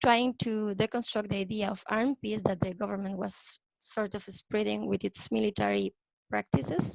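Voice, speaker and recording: The sound is dry and close, with no echo. A woman with a Spanish accent speaks at a moderate pace. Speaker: youth peace activist. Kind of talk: prepared talk read from notes. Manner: hesitant, with fillers.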